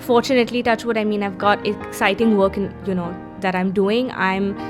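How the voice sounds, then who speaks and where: Music plays in the background behind a woman with an Indian accent. Her pitch is fairly high and her pace moderate. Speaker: film actress. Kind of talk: interview answer. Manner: casual, conversational.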